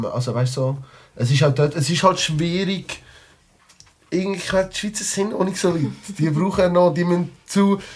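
High male voice at a moderate pace, long, frequent pauses, ordinary pitch variation and noticeable background noise. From Switzerland, Liestal (Basel-Landschaft). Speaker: rapper. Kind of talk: casual chat. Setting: studio.

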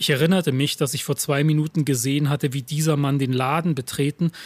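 A man talks at a fairly high pitch in a somewhat breathy way. The sound is dry and close, with no echo. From eastern Germany, Lusatia (Saxony). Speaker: writer and stage reader. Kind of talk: reading aloud own texts.

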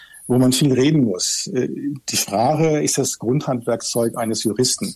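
The man's medium-pitched voice moves along very slowly. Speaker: judge. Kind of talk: podcast interview. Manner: hesitant, many fillers.

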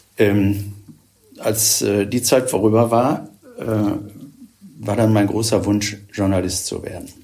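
Very slowly, a man talks at a fairly low pitch. His intonation stays fairly even, and the room echo is audible. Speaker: retired church official, former bishop's aide. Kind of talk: podcast interview.

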